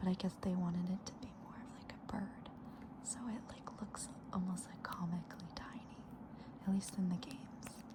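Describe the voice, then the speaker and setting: Someone whispers in a gentle tone at a moderate pace. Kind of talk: ASMR soft-spoken talk to camera about a card collection. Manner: soft-spoken, gentle.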